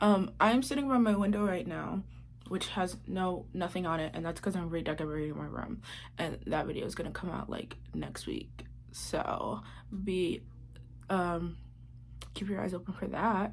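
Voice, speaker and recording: At a moderate pace, a woman speaks with audible room echo around her voice. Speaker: YouTuber. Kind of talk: casual vlog with reading aloud. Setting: bedroom. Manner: low voice; muffled by face mask.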